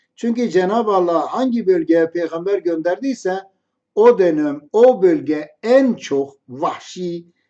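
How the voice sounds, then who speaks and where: A man speaks at a very slow pace, his pitch high for a man and his intonation lively. His tone is dark and mellow. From Kurdish region. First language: Kurdish (speaking Turkish). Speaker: religious commentator. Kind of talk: storytelling monologue.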